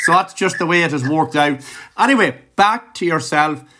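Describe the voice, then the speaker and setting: With an Irish accent, a man speaks in a bright, sharp tone and lively intonation. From Ireland. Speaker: music podcast interviewer. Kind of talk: interview. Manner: animated.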